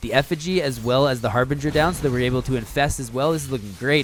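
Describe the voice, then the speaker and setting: A man speaks at a very fast pace in a medium pitch. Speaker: esports caster. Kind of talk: live commentary. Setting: live stream. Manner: fast, slurred; casual, chatty.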